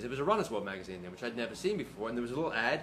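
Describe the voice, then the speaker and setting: A medium-pitched male voice in an English accent, with lively intonation. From England. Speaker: runner, brother of the host. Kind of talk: casual chat.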